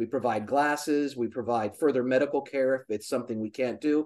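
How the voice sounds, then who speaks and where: A man with a plain, everyday voice speaks fairly quickly at a medium pitch, his intonation fairly even. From US, military family, moved around. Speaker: charity founder, optical business worker. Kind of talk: casual interview chat.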